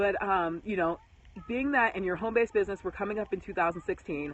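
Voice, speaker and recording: Over noticeable background noise, a woman talks at a very fast pace. Her medium-pitched voice has lively intonation. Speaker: home business marketer. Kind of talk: live stream talk. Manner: animated.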